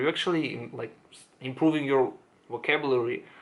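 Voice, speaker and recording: The speaker is a man whose pitch sits in the medium range. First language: not English. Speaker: self-improvement YouTuber. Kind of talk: casual monologue to camera. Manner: halting, many fillers and restarts.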